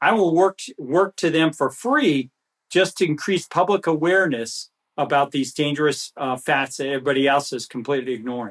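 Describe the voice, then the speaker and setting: A man at a fairly quick pace, dry, close sound with no echo, quiet background. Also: fairly high pitch for a man, ordinary pitch variation. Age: 60s. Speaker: physician. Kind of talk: interview. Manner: halting, repeats words.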